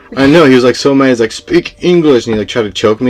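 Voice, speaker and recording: Lively intonation marks a man's speech, set against noticeable background noise. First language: Spanish. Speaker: podcast co-host. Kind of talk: casual chat. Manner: casual, halting with fillers.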